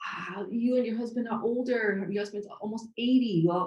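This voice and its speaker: A woman with a non-native accent speaks in a somewhat breathy, dark, mellow tone at a fairly high pitch. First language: not English. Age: 60s. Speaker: podcast host. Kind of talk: interview conversation.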